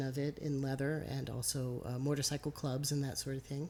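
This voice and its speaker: A soft-spoken woman with a very deep, low pitch at a moderate pace. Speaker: interviewer. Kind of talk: interview. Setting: rural Iowa.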